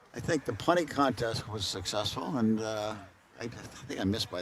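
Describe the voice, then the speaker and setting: Through noticeable background noise, a man with a fairly low pitch speaks at a very fast pace. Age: 80s+. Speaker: college athletics supporter, golfer. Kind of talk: casual interview. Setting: outdoors at golf event.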